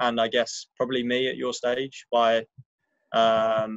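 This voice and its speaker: Someone with a London accent speaks at a fairly slow pace in a dry, close sound with no echo. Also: man. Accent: English, London area. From England, just outside London. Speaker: finance professional, alumnus speaker. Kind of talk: informal talk to students. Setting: video call from a balcony. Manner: hesitant, many fillers.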